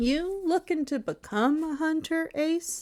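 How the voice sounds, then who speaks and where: A woman performs a squeaky, put-on character voice at an extremely high pitch and a fairly slow pace. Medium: read story.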